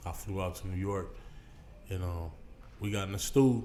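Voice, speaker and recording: A man's fairly low-pitched voice, dark and mellow in tone, with audible room echo. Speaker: battle rapper. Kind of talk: casual chat. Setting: studio. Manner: loud, projects heavily.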